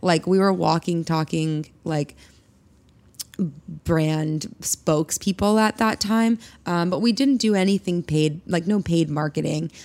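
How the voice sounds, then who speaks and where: In an American accent, an ordinary speaking voice goes at a fairly slow pace, its pitch varying an ordinary amount. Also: woman, fairly low pitch for a woman. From Colorado, US. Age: 30s. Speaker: bag designer and company co-founder. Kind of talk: interview.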